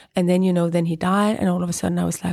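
A woman speaks with a Danish accent. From Greenland and Copenhagen, Denmark. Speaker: writer. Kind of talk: interview. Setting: literature festival. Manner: halting.

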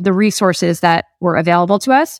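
This woman has a New Jersey accent, a medium pitch, fairly even intonation and a moderate pace. The recording is very clean and dry, with a silent background and a close sound with no echo. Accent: American (New Jersey). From New Jersey, US. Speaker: startup founder. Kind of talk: interview.

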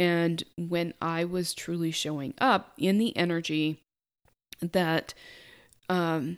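A quiet woman's very slow delivery, fairly low in pitch and fairly even in intonation, with long, frequent pauses in a very clean recording over a silent background. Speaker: money mindset coach, podcast host. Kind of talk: solo podcast monologue. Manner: quiet, calm.

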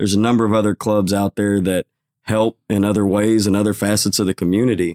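A man with a Texan accent speaks at a fairly quick pace, his fairly low voice dark and mellow in tone. The sound is dry and close with no echo, on a very clean recording with a silent background. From Texas, Waco. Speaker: fishing club founder. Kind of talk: interview.

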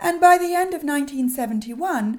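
Speaking with a British accent, a woman keeps a moderate pace and very wide pitch swings. The recording is very clean, with a silent background. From UK. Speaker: podcast host, sugar-free lifestyle coach. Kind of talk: solo podcast monologue.

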